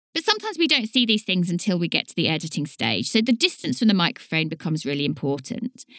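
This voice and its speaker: A woman with a Southern English accent, medium-pitched, very fast and with hardly any pauses, making very wide pitch swings in a dry, close sound with no echo. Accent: southern English, slight t and d dropping. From southern England. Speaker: podcast host and author. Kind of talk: solo educational monologue.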